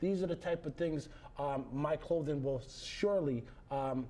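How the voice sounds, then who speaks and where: The tone is dark and mellow, somewhat breathy. Delivery comes at a moderate pace with fairly even intonation. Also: man. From Massachusetts, Fall River. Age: 30s. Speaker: clothing line founder. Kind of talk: interview.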